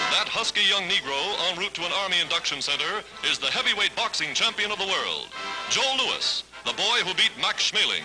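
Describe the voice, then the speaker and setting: With music in the background, a man with a high pitch talks at a fairly quick pace in an upbeat tone, keeping his loudness very even. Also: ordinary pitch variation. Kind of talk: newsreel narration. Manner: upbeat, patriotic.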